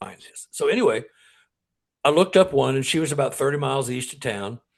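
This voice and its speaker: A man's lively, rising-and-falling voice with vocal fry. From Texas, Dallas. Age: 70s. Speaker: paranormal researcher and author. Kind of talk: interview storytelling.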